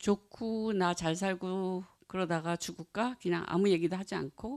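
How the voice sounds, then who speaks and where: A woman's medium-pitched voice with a non-native accent at a very slow pace, in a very clean recording with a silent background. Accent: non-native Korean. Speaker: Buddhist author and practitioner. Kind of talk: talk to an audience. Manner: halting.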